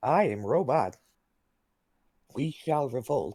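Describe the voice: A man's put-on character voice, fairly high and at a fairly slow pace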